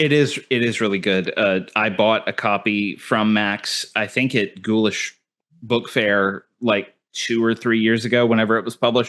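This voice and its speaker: A man with an American accent uses an ordinary speaking voice at medium pitch and a moderate pace, with fairly even intonation and very even loudness over a quiet background. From Texas. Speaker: podcast host. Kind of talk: casual interview chat.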